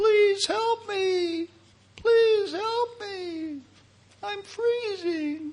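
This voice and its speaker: In a put-on character voice, the speaker sounds squeaky and extremely high-pitched, going at a very slow pace. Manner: pleading, urgent.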